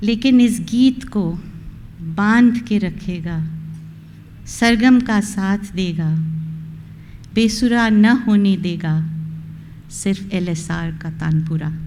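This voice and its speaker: In a dark, mellow tone that is somewhat breathy, the speaker talks with ordinary pitch variation and long, frequent pauses amid audible room echo. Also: woman, medium pitch for a woman. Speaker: retiring college principal. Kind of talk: farewell speech.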